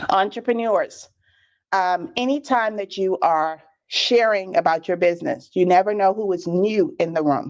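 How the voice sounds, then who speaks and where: Over a quiet background, a woman with a Bahamian accent speaks at a medium pitch in an animated tone with lively intonation. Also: moderate pace. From Bahamas. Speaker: business trainer. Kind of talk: live webinar training. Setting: livestream on social media.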